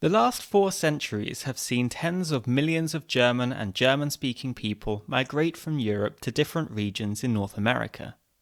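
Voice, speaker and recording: A man with a normal speaking voice at medium pitch, talking at a moderate pace, on a very clean recording with a silent background. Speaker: podcast host. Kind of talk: podcast intro narration.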